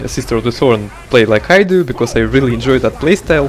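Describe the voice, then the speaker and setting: With noticeable background noise behind him, a man speaks with a non-native accent. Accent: non-native English accent, self-noted. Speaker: video game guide creator. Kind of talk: gameplay tutorial. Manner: hesitant, frequent filler words.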